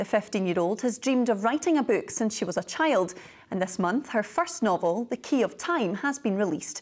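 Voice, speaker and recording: A woman speaks at a fairly quick pace in a fairly high voice, her pitch swinging very widely. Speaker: TV news presenter. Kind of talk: TV news presenting. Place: studio.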